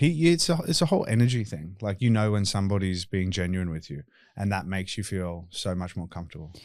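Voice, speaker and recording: Very fast speech with lively intonation and an Australian accent comes through on a very clean recording with a silent background. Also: man, very deep, low pitch for a man. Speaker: tattoo removal clinic owner and podcast host. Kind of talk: casual podcast chat. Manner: talkative.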